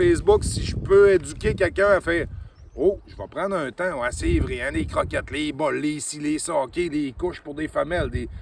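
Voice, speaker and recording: Amid noticeable background noise, a man talks at a moderate pace with hardly any pauses and big swings in loudness. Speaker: dog trainer. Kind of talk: casual vlog talk. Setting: outdoors on a trail with dogs.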